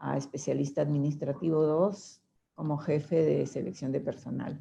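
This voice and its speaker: A dark, mellow tone with vocal fry, fairly even intonation and a moderate pace. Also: woman, very deep, low pitch for a woman. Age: 70s. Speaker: testimony giver, mother of a victim. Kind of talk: testimony.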